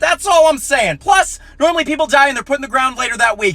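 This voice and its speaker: A man uses a raised, projected voice. His intonation is lively. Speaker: comedian. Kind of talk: stand-up. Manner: fast; clear enunciation.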